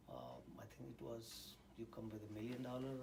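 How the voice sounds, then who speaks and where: Amid noticeable background noise and audible room echo, a man with an Indian accent talks at medium pitch and a moderate pace. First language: Indian language; English is third language. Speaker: scientist and university teacher. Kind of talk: interview. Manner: hesitant, many fillers.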